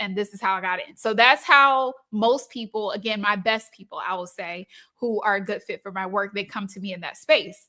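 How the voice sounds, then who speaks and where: A woman's fairly high, bright and sharp voice, upbeat and animated, at a fairly quick pace with big swings in loudness and hardly any pauses. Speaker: business coach. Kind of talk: live stream talk. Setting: live stream. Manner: upbeat, animated.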